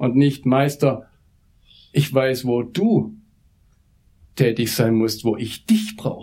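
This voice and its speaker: A man speaks very slowly at a medium pitch, leaving long, frequent pauses. His intonation is lively, and his dark, mellow voice is somewhat breathy. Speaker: pastor, mission director. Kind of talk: sermon. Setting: church service.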